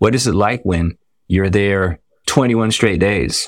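With an American accent and a plain, everyday voice, a man speaks at a fairly low pitch and a fairly quick pace with ordinary pitch variation, on a very clean recording with a silent background. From Washington, D.C. area. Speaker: dermatologist. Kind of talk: interview.

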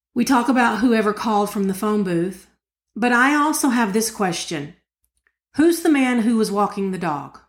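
A woman's fairly high, lively voice with an Appalachian accent, at a moderate pace on a very clean recording with a silent background. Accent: Appalachian Southern US. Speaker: podcast co-host. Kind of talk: casual true crime discussion.

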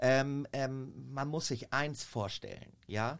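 A man speaks at a very slow pace. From Germany, Minden (East Westphalia). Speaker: model agent. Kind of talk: casual chat.

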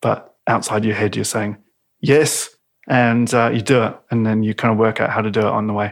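With a New Zealand accent, a man speaks at a fairly low pitch and a moderate pace in a monotone, flat intonation. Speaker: designer and actor. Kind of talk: casual chat. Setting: at home.

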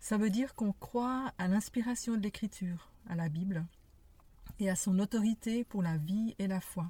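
Somewhat breathy and dark, mellow in tone, a woman speaks at a fairly slow pace with medium pitch and ordinary pitch variation. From Geneva, Switzerland. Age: 60s. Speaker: podcast co-host. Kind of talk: casual conversation. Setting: in a parked car.

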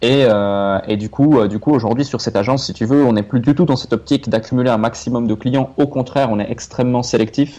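A man's medium-pitched, dark, mellow voice at a fairly quick pace, with hardly any pauses and fairly even intonation. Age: 20s. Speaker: entrepreneur. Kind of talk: interview.

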